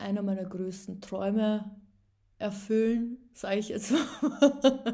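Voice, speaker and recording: A woman's somewhat breathy, dark, mellow voice, fairly high in pitch, with ordinary pitch variation and a very slow pace. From Upper Austria. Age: 20s. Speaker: podcaster. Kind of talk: casual monologue. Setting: home at a table. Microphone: laptop.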